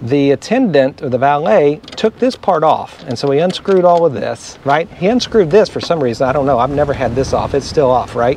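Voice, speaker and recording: A man speaks at a moderate pace in a dry sound with no echo, over light background noise. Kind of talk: casual vlog explanation. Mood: animated, recounting a problem. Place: street. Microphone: phone near.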